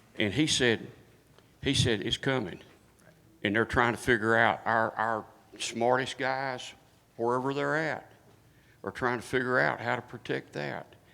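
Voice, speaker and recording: A man of medium pitch speaks fairly slowly with long, frequent pauses, ordinary pitch variation, vocal fry and a bright, sharp tone. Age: 70s. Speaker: military veteran audience member. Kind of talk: audience comment.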